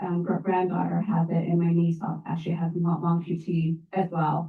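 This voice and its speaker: A woman speaks with an American accent at a moderate pace. Her voice is somewhat breathy. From Colorado. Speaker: author and advocate. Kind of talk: Q&A talk. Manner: halting.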